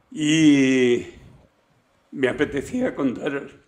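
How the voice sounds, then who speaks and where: Ordinary pitch variation in the medium-pitched voice of a man. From Spain, Extremadura and Valencia. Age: 70s. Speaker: podcast guest, grandfather. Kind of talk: casual chat.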